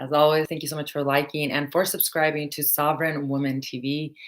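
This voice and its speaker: Here a woman is talking. Her pace is moderate. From Mexico. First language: Spanish. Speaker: spiritual teacher. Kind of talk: live stream talk. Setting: live video stream.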